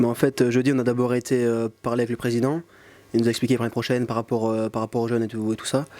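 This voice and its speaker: Very fast talk from a man at medium pitch, monotone and flat in intonation. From Belgium, Luxembourg province (Saint-Hubert). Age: 20s. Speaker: footballer. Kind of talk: post-match interview. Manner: halting, many fillers.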